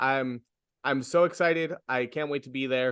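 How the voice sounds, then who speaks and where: A man with a New York accent speaks at a medium pitch in a bright, sharp tone. The sound is dry and close with no echo, and the background is quiet. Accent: New York American English. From US, New York City. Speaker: stand-up comedian. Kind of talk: interview. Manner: halting.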